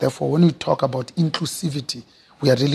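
The delivery is very fast and passionate in tone. The voice sounds somewhat breathy. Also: man. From South Africa, township. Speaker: business executive. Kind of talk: interview. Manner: passionate, expressive.

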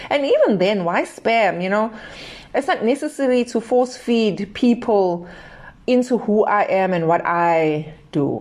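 A woman's fairly high-pitched, normal speaking voice at a fairly slow pace. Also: lively intonation. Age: 40s. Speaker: podcast host. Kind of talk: solo podcast monologue. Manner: casual, conversational.

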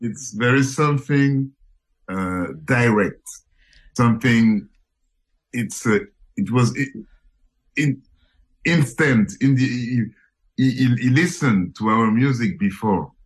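A man with a French accent, medium in pitch with ordinary pitch variation, at a very slow pace with long, frequent pauses. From Paris, France. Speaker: musician. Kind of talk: casual radio interview. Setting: radio interview, remote call from Paris. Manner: halting, repeats words.

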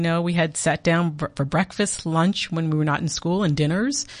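At a fairly quick pace, this American-accented speaker has an ordinary speaking voice. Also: woman. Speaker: diplomat. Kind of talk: interview. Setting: studio.

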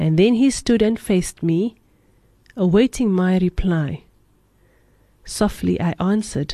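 A woman speaks at a very slow pace. Her pitch sits fairly low. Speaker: radio host. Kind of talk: poetry reading on radio. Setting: radio studio.

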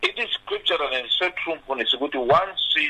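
A man at a fairly quick pace, against noticeable background noise. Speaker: pastor. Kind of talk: radio panel discussion.

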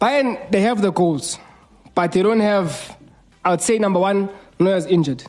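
The man's voice is high-pitched with a slightly mellow tone. He speaks at a fairly slow pace. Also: ordinary pitch variation.

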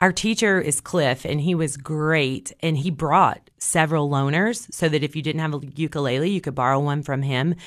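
Very deep and low in pitch, a woman talks with hardly any pauses. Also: ordinary pitch variation, moderate pace, quiet background. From Tennessee, Cookeville. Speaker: library director. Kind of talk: radio interview. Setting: studio.

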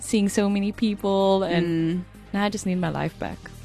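A woman at medium pitch and moderate pace, with monotone, flat intonation and music in the background. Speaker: radio show co-host. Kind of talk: casual, chatty. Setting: radio studio.

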